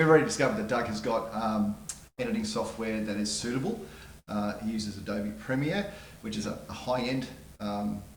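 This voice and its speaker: A man talks at a fairly quick pace with lively intonation. Room echo can be heard. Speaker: video production trainer. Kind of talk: tutorial. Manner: fast.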